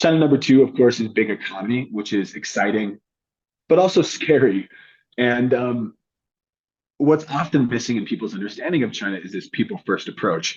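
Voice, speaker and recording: Speaking at a fairly quick pace and medium pitch, a man with a plain, everyday voice and an American accent uses lively intonation. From United States. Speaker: China insights consultant and author. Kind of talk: interview.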